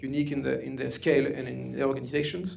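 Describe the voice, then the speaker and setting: A man speaks with a French accent. Room echo is audible, and background noise is noticeable. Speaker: author and security expert. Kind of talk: lecture. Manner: fast.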